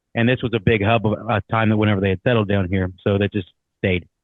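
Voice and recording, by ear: Talking fast in an Ohio accent, a man keeps a fairly low pitch and fairly even intonation, recorded with a dry, close sound and no echo. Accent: American, Ohio.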